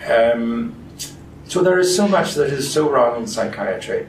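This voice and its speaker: Audible room echo and noticeable background noise surround a man speaking with a Danish accent. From Denmark. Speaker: physician and researcher. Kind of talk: interview.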